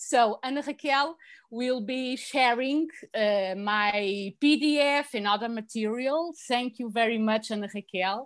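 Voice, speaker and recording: A woman with a Portuguese accent speaks at a high pitch with ordinary pitch variation against a quiet background. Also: fairly slow pace. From Portugal, Lisbon. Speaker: language lecturer. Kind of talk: virtual presentation. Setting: video call from home. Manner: halting.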